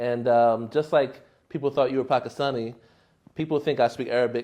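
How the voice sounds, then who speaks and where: A man speaks in a normal speaking voice with an American accent. His pitch is medium and his intonation fairly even. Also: fairly quick pace. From United States. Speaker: podcast host. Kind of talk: podcast interview.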